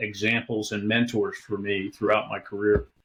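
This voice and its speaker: In a General American accent, the speaker talks at a fairly quick pace on a very clean recording with a silent background. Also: man. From US, Northern Virginia. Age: 60s. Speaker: retired military officer and business executive. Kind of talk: interview.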